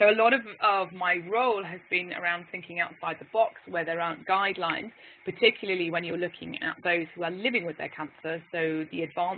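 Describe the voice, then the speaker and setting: A woman speaks at a fairly quick pace in a fairly low pitch, her loudness swinging widely against noticeable background noise. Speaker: physiotherapist. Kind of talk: webinar presentation. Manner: animated.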